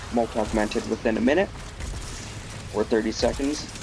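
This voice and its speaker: There is noticeable background noise as a man talks at a fairly quick pace. His pitch is fairly low. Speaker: gaming video creator. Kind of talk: gameplay commentary. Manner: stuttering a bit; halting. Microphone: bad mic quality.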